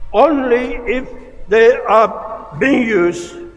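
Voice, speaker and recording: A man speaks at an extremely high pitch with ordinary pitch variation. Music plays in the background. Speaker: graduation speaker, senior statesman. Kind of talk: formal graduation speech.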